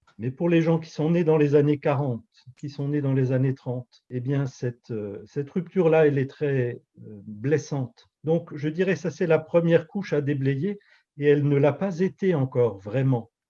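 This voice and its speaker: A man with an Alsatian accent speaks at a moderate pace and a fairly high pitch, with ordinary pitch variation. His tone is dark and mellow, and somewhat breathy. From Alsace, France. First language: Alsatian (speaking French). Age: 50s. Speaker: pastor and author. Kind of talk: interview. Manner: hesitant, many fillers.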